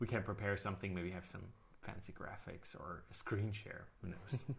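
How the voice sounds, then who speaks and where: A man speaks in a fairly low, somewhat breathy voice. His pitch varies in an ordinary way. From Austria. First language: German. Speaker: live stream co-host, software company team member. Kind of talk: casual live stream Q&A.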